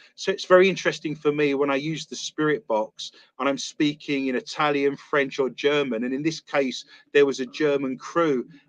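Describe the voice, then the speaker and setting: With a British accent, a man speaks at a moderate pace and fairly high pitch, ordinary pitch variation, and a dry, close sound with no echo. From London, England (East London). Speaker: paranormal investigator and author. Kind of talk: interview. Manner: talkative.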